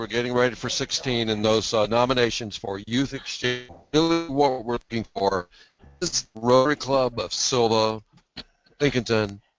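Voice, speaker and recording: Pitch moves up and down in an ordinary way. The delivery keeps a moderate pace. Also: man. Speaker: youth exchange coordinator. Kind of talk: business meeting. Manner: loud.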